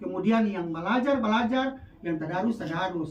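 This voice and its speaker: The speaker has a North Maluku accent. The pace is moderate. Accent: North Maluku Malay. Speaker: PKK competition judge. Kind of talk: religious advice talk.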